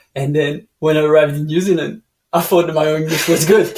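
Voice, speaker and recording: Fairly high for a man, this voice runs at a fairly quick pace. The intonation stays monotone and flat. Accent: French. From France (Dijon). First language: French. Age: 30s. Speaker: canyoning guide. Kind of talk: casual interview chat. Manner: halting, many fillers.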